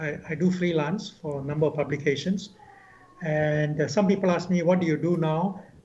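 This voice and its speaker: The man's pitch sits fairly high. His intonation is fairly even, and there is audible room echo. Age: 70s. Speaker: veteran journalist. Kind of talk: interview.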